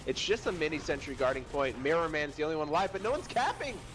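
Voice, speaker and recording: A man talks at a very fast pace in a fairly high pitch. Music plays in the background. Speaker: esports match shoutcaster. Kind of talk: live game shoutcast commentary. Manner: casual, joking with co-caster.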